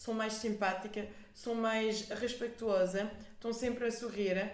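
A woman with a French accent, fairly high in pitch with ordinary variation, at a fairly slow pace, amid noticeable background noise and audible room echo. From France, Paris. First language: French (speaking Portuguese). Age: 20s. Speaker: art director and entrepreneur. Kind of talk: casual chat.

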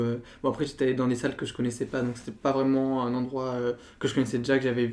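This man's medium-pitched voice rushes along at a very fast pace. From southern France, Nîmes. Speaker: art history student. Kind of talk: casual chat.

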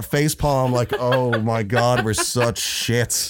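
A man talks at a very slow pace while noticeable background noise carries on around him. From US, Florida; moved to Ireland at fourteen. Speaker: saxophone player. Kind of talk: casual chat.

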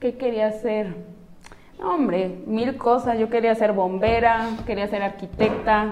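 Noticeable background noise sits behind a woman with a fairly high pitch. She speaks at a fairly slow pace with fairly even intonation. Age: 30s. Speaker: professional footballer. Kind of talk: interview.

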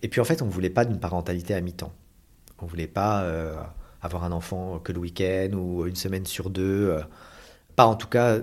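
At a moderate pace, a man with a very deep, low pitch speaks with fairly even intonation. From Paris region, France. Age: 40s. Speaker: adoptive father. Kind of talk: testimony.

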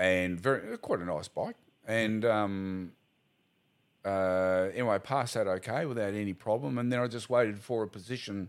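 Over a silent background in a very clean recording, a man with an Australian accent speaks at a fairly low pitch with ordinary pitch variation. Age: 60s. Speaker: retired police officer. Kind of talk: casual interview.

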